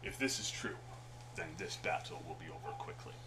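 Over loud background noise, a man does a put-on character voice at a fairly quick pace. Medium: actual play. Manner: calm, defiant, dry.

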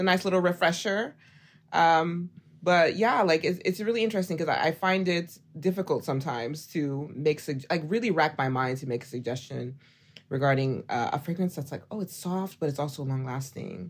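An American woman with an unremarkable speaking voice talks at a fairly quick pace, her fairly low pitch carried by lively intonation. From Oklahoma. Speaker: fragrance content creator. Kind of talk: casual interview chat.

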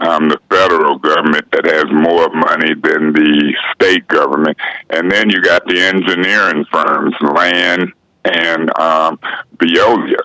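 Recorded dry and close with no echo, a man speaks at a fairly slow pace. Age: 60s. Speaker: city councilman. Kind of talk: casual interview.

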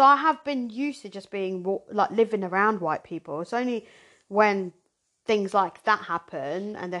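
Speaking in a southern English accent, a woman keeps a medium pitch with ordinary variation. Her pace is moderate, over a quiet background. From Zimbabwe, raised in southern England from age 7. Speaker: podcast host. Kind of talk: casual chat.

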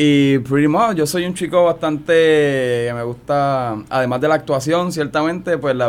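With ordinary pitch variation and a fairly high pitch, the man uses an ordinary speaking voice. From Puerto Rico, San Juan. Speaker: actor. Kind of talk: radio interview.

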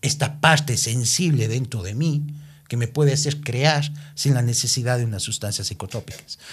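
Somewhat breathy, a man's voice is heard. He speaks at a fairly slow pace. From Ecuador, Cuenca. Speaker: reality show winner and TV personality. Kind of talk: casual interview. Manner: animated.

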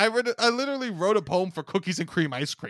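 With a New York accent, a man speaks at a very fast pace in a raised, projected, high voice, bright and sharp in tone with lively intonation, and the sound is dry and close with no echo. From Staten Island, New York. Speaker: comedian. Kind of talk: casual chat, reading aloud from old books.

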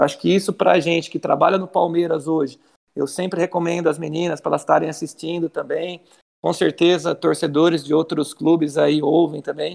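Fairly quick, flat monotone speech from a man with a fairly high pitch and vocal fry. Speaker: football coach. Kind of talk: interview. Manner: intense.

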